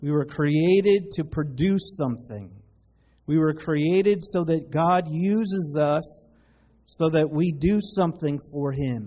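A man speaks at a very slow pace. His tone is dark and mellow. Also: ordinary pitch variation. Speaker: pastor. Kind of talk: sermon. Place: church.

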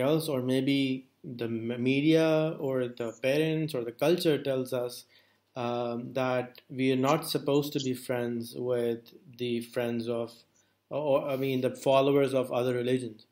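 Over a quiet background, a man with an unremarkable speaking voice talks at a medium pitch and a fairly slow pace, with fairly even intonation. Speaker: interviewer. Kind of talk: interview. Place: office.

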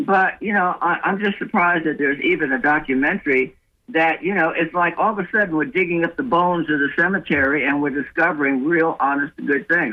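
With an American accent, a man talks at a fairly quick pace and high pitch, using ordinary pitch variation, hardly any pauses and very even loudness. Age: 70s. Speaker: caller. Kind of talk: call-in comment.

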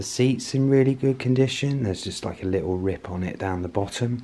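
The voice has a dark, mellow tone, moving at a fairly quick pace with ordinary pitch variation. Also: man. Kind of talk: casual walk-round commentary. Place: garage. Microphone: phone near.

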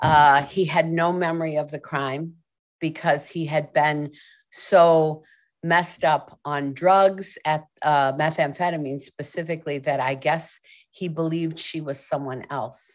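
A woman speaks with a very deep, low pitch and monotone, flat intonation. Her pace is fairly slow, over a quiet background. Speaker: guest. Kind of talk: interview answer. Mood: reflective, somber story. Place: home room. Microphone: video call.

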